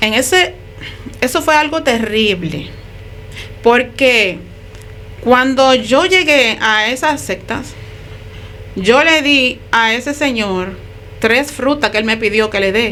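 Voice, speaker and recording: Over noticeable background noise, a woman with a high pitch talks at a very slow pace, her lively intonation broken by long, frequent pauses. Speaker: ex-occultist giving testimony. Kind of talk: testimony.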